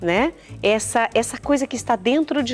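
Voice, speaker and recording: A woman with a Minas Gerais accent, music in the background. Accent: Minas Gerais regional. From Minas Gerais, Brazil.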